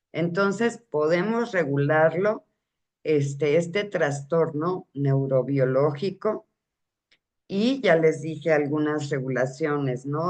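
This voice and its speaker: A woman with a very deep, low pitch speaks at a very slow pace with ordinary pitch variation. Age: 60s. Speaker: parenting talk host. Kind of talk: informal talk to parents. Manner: halting, with fillers and self-corrections.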